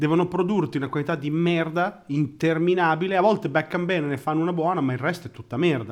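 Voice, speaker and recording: Speech races along at a very fast pace with hardly any pauses. Pitch varies in an ordinary way. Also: man, fairly high pitch for a man. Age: 30s. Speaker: podcast co-host. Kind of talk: casual chat.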